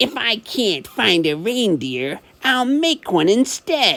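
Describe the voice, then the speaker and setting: Very wide pitch swings mark a put-on character voice with growling. The pitch is fairly high and the pace very slow. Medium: read story. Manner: snarling, sly.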